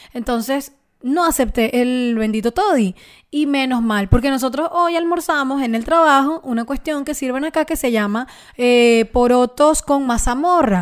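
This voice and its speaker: Speaking at a fairly slow pace with a Venezuelan accent, a woman uses a high pitch and ordinary pitch variation on a very clean recording with a silent background. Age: 20s. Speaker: podcast co-host. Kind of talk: casual chat.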